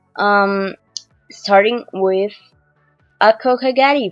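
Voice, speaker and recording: The pitch moves by a normal amount. Music can be heard in the background. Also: woman. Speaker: artist. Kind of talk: casual voiceover commentary on a speedpaint. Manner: hesitant, many fillers.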